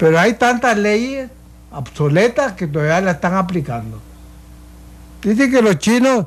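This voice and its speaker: Pausing long and often, a man speaks fairly slowly in a high voice with very wide pitch swings. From Costa Rica, Puntarenas. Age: 80s+. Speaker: painter. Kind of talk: radio panel discussion.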